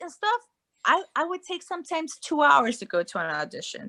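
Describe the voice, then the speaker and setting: A raised, projected voice with a bright, sharp tone and a Spanish accent rushes at a fairly quick pace through very wide pitch swings, recorded very cleanly against a silent background with a dry, close sound and no echo. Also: woman. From Guatemala. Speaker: actress and life coach. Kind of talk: casual chat.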